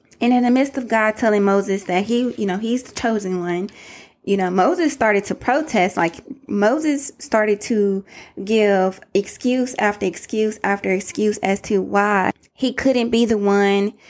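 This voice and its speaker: A woman with a Southern US accent speaks in an animated, warm tone at a moderate pace with ordinary pitch variation. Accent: country, Southern US. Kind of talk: motivational faith-based monologue. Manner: animated, warm, conversational.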